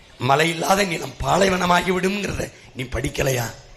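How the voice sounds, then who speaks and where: A man speaks in a passionate tone with ordinary pitch variation. Noticeable background noise runs under his voice. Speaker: political party leader giving election campaign speech. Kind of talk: fiery political rally speech. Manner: passionate, forceful, rhetorical.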